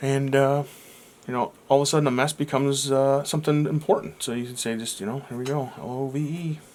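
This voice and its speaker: Talking at a fairly quick pace yet with long, frequent pauses, a man keeps a fairly even intonation at a fairly high pitch. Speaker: art tutorial youtuber. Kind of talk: tutorial. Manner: halting, many fillers.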